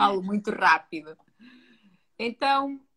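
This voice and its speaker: With a strong European Portuguese accent, a woman talks at a medium pitch with ordinary pitch variation. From Portugal. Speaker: psychologist. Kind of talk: live-stream interview.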